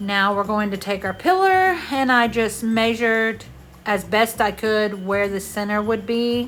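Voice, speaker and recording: With music in the background, a woman with a Southern US accent and fairly high pitch speaks at a fairly slow pace with ordinary pitch variation. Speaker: craft video creator. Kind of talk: voiceover tutorial. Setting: home bedroom voiceover. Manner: loud.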